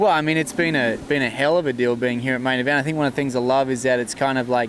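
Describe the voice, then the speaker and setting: Talking at a very fast pace over noticeable background noise, a man with an Australian accent uses a medium pitch and ordinary pitch variation. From Queensland, Australia. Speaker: horse trainer. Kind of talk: casual interview. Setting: horse expo event, Canada.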